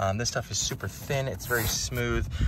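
Noticeable background noise surrounds a man, whose voice sounds dry with no echo. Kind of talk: inspection walkthrough commentary. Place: open country. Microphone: phone near.

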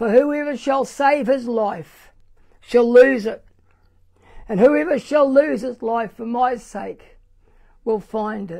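Against a quiet background, a woman with a New Zealand accent speaks very slowly in a high-pitched voice with a dark, mellow tone, big swings in loudness and long, frequent pauses. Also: ordinary pitch variation. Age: 70s. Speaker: pastor. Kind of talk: sermon. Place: church. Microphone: lapel.

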